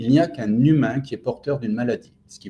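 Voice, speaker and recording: A man's somewhat breathy voice with a dark, mellow tone and fairly high pitch. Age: 60s. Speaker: general practitioner. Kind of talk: interview testimony. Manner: enthusiastic; hesitant, many fillers.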